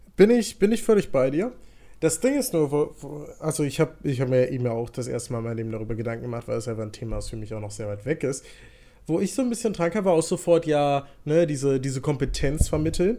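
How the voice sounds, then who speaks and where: At a very fast pace, a man with a dark, mellow tone speaks at a fairly high pitch with very wide pitch swings. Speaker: podcast co-host. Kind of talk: casual chat.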